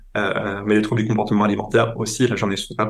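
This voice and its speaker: This man talks fairly quickly in a fairly low voice. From eastern France, Franco-German border. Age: 30s. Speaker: public health researcher and podcaster. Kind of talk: interview testimony.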